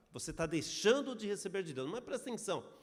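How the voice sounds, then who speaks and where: The man's intonation is lively. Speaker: pastor. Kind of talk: sermon.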